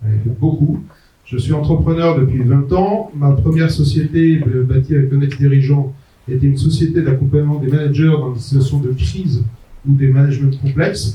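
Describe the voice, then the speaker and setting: Somewhat breathy and dark, mellow in tone, a man speaks at a moderate pace and fairly high pitch with ordinary pitch variation amid audible room echo. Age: 60s. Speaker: entrepreneur and management consultant giving a talk. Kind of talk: conference talk. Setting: conference venue with audience. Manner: hesitant, frequent euh.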